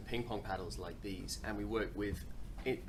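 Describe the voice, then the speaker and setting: Amid noticeable background noise and audible room echo, a man with an English accent talks at a fairly quick pace. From England. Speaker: startup founder. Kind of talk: interview. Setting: coworking space. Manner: halting.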